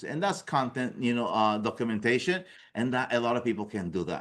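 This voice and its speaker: In a quiet background, a man with a non-native accent talks at a fairly quick pace. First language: not English. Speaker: business coach. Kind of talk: workshop presentation. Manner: conversational, repetitive fillers.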